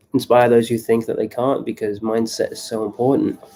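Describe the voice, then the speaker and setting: The man's voice sits at a medium pitch with a dark, mellow tone. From England. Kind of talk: live stream monologue. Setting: live stream on laptop. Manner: casual, many fillers. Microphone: laptop.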